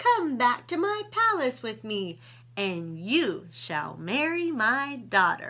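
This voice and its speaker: A woman puts on a character voice, pitched high. She speaks at a very slow pace with very wide pitch swings. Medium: read story.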